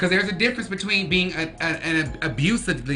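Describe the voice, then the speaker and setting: A woman speaks at a fairly quick pace. Noticeable background noise and audible room echo are present. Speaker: podcast host. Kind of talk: casual chat. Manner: loud; halting.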